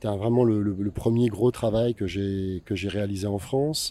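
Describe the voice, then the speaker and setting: A man talks at a fairly slow pace with a fairly low pitch. His tone is dark and mellow, with fairly even intonation. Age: 50s. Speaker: photographer. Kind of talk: interview. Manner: halting.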